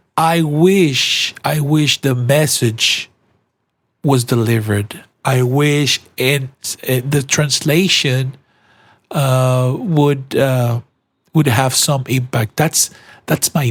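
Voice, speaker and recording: A man in a Spanish accent speaks at a very slow pace with a somewhat breathy voice, ordinary pitch variation, and very even loudness. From Colombia. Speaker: podcaster. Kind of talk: casual commentary monologue. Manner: halting, with frequent repetitions and fillers.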